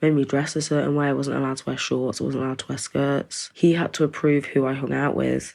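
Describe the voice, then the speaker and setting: Against a quiet background, a woman with an East Midlands accent talks very fast with hardly any pauses. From East Midlands, England. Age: 20s. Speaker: domestic abuse survivor. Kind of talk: testimony. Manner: sighing.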